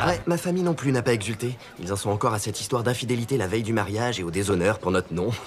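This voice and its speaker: Over noticeable background noise, a man talks very fast at medium pitch with lively intonation. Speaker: voice actor. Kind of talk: film dubbing.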